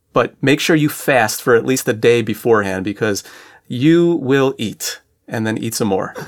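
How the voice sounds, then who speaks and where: At a moderate pace, a man with an unremarkable speaking voice talks at medium pitch with ordinary pitch variation. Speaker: co-host, regional ministry director. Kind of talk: radio program co-host.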